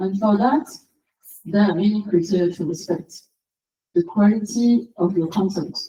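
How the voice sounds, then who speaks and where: A woman's medium-pitched, somewhat breathy voice in a dark, mellow tone, with a French accent, ordinary pitch variation, a moderate pace and long, frequent pauses. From France, Paris. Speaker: SEO consultant and conference speaker. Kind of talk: conference talk.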